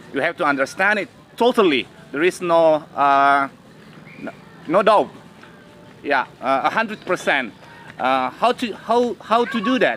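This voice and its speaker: Over noticeable background noise, a man with a high pitch talks at a fairly slow pace, making very wide pitch swings and taking long, frequent pauses. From Indonesia. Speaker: English teacher. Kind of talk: panel discussion. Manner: halting.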